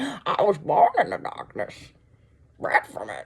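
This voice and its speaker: A put-on character voice at a fairly slow pace. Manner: menacing, dramatic.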